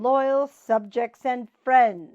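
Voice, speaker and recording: A woman puts on a character voice. It is high-pitched with ordinary pitch variation. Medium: read story. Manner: regal, pompous.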